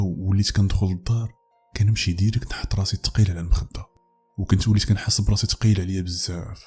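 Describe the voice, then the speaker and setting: Over music in the background, a man with a fairly low pitch speaks at a fairly quick pace with fairly even intonation. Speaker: horror story narrator. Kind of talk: first-person story narration as a male teacher.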